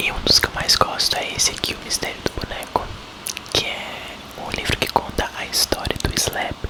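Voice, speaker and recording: A man whispers with big swings in loudness, against noticeable background noise. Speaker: ASMR content creator. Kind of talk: casual chatty intro and comments to the audience between reading. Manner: whispered, soft, slow.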